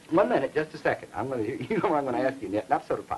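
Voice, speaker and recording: A man races along at a very fast speed while noticeable noise sounds in the background. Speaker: dialect lecturer, program host. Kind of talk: educational TV lecture.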